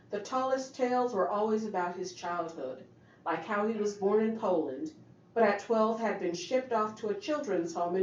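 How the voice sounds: The voice heard here is a natural reading voice.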